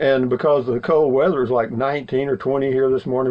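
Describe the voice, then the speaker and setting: Speaking at a very fast pace, a man uses a Texan accent. His pitch is medium and his intonation fairly even. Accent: Texan Southern US. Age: 70s. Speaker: vlogger. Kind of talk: casual monologue. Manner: rambling with many fillers.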